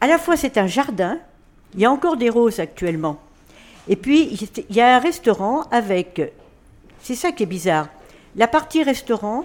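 Her pitch fairly high and swinging very widely, a woman speaks at a moderate pace with long, frequent pauses. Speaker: retirement home resident. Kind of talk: radio interview.

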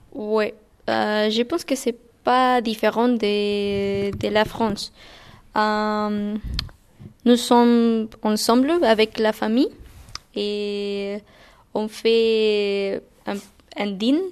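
A woman with a Spanish accent speaks very slowly at a fairly high pitch, with long, frequent pauses and fairly even intonation against a quiet background. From Guatemala. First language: Spanish (speaking French). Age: 20s. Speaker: language teaching assistant. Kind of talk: interview. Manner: halting.

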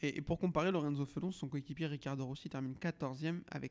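This man's voice sits fairly high, with fairly even intonation. The sound is dry and close, with no echo. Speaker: podcast host. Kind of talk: casual chat. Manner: loud.

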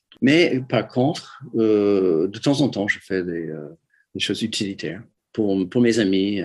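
A man with an English accent at a very slow pace, using ordinary pitch variation. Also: fairly low pitch for a man. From US Midwest, Detroit. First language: English (speaking French). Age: 70s. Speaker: ceramic artist. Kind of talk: interview. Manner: halting, many repetitions.

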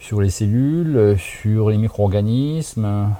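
A man with a fairly low voice and a dark, mellow tone speaks very slowly. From France, Haute-Marne (Saint-Dizier). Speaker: NASA research scientist. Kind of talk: recorded interview answers. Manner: halting, many fillers.

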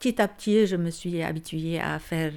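Here a woman speaks with a fairly low pitch and fairly even intonation. She has a plain, everyday voice, and the recording is very clean with a silent background. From Lebanon. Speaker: homemaker and mother. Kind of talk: casual chat.

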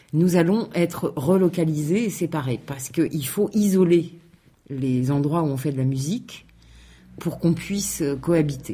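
A woman speaks at a very slow pace in a fairly low, dark and mellow voice that is somewhat breathy. Her intonation stays lively throughout. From France, Aubervilliers (Paris suburbs). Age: 40s. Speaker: local government community officer. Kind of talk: radio interview.

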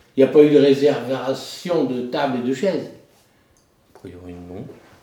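Here a man uses a medium pitch and lively intonation at a fairly slow pace. Audible room echo surrounds his voice. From French Flanders, Nord. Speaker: deputy mayor. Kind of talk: interview.

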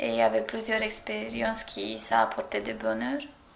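A woman speaks with audible echo from the room. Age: 20s. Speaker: former civic service volunteer. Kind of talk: recorded testimony. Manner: halting.

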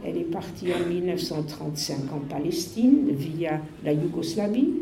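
A woman's pitch swings very widely. Her recording has noticeable background noise and audible room echo. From Netherlands, Amsterdam. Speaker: Holocaust survivor. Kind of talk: testimony. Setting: school talk to pupils. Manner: halting.

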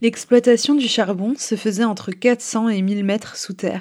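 Recorded very cleanly against a silent background, a woman speaks at a fairly slow pace. Her tone is dark and mellow, her intonation fairly even. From Quebec, Montreal. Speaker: podcast co-host, illustrator and screen printer. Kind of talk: scripted narration.

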